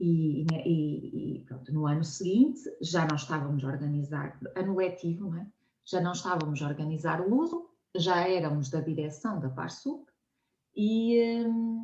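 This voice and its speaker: Speaking fairly slowly with a European Portuguese accent, a woman has a somewhat breathy, dark, mellow tone at a fairly low pitch, with lively intonation. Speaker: science communicator, nonprofit co-founder. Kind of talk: conversational interview. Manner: hesitant, many fillers.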